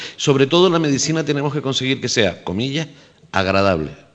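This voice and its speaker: A man's voice with very wide pitch swings. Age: 50s. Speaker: health insurer manager and doctor. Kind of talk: radio panel discussion.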